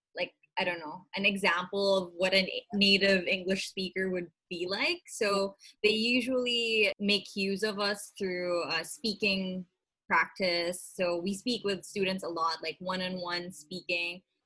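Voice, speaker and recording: Her pitch medium and her intonation fairly even, a woman speaks at a fairly slow pace. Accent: Filipino. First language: Tagalog. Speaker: vlogger and small business owner. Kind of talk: casual interview.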